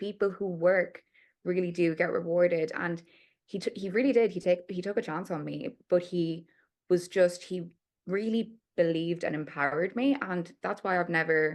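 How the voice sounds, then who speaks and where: An unremarkable speaking voice from a woman, fairly low in pitch with ordinary pitch variation, at a moderate pace with big swings in loudness against a quiet background. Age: 20s. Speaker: PR account director. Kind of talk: podcast interview.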